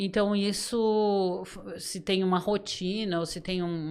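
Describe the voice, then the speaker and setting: The recording is very clean with a silent background. A woman speaks at a medium pitch with ordinary pitch variation. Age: 60s. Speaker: podcast guest, trainer. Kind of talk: casual chat. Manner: halting.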